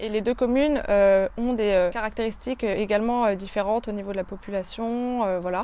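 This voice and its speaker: Her pitch fairly high, a woman talks at a fairly quick pace with fairly even intonation. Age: 20s. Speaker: geography student. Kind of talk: interview. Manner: hesitant, many filler sounds.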